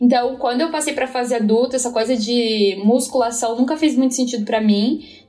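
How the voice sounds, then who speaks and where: Against noticeable background noise, a woman speaks at a high pitch and fairly quick pace with fairly even intonation and hardly any pauses. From São Paulo, east zone. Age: 30s. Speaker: company coordinator. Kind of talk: interview.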